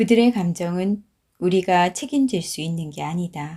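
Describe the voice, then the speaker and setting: In a very clean recording with a silent background, a woman speaks fairly slowly in a fairly low, somewhat breathy voice, her tone dark, mellow and calm, with ordinary pitch variation. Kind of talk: audiobook reading. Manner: calm, slow.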